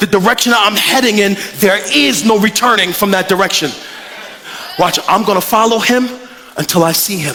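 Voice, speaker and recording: A man with a high pitch speaks in a raised, projected voice and a passionate tone at a moderate pace, with ordinary pitch variation over noticeable background noise. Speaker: preacher. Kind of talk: live sermon. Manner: passionate, authoritative.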